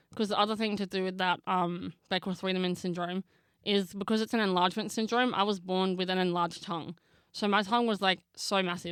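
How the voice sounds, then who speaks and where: At a very fast pace, a woman with an Australian accent speaks in a flat monotone at a medium pitch, in a very clean recording with a silent background. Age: 20s. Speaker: actress and makeup artist. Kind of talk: casual chat.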